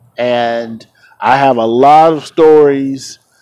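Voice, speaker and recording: A man's dark, mellow tone with ordinary pitch variation. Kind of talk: personal tribute vlog. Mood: reflective, mournful. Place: street. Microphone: phone near.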